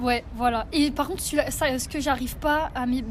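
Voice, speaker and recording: This woman's pitch is high and her intonation fairly even. She keeps a moderate pace against noticeable background noise. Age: 20s. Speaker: civic service volunteer. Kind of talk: casual chat.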